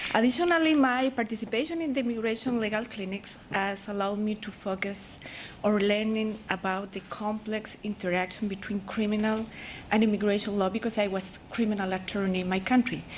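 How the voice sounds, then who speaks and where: With a Spanish accent, a woman talks at a fairly quick pace and a fairly high pitch. Her pitch variation is ordinary, and there is noticeable background noise. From Chile. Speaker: law student, foreign attorney. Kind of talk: prepared presentation. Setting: ceremony with audience.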